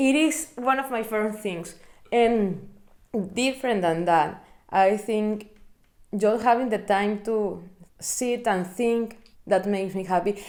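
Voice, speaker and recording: With a Spanish accent, a woman speaks at a fairly slow pace and a fairly high pitch, with ordinary pitch variation and long, frequent pauses. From Venezuela. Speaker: interviewee, researcher in literature and music. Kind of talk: casual interview.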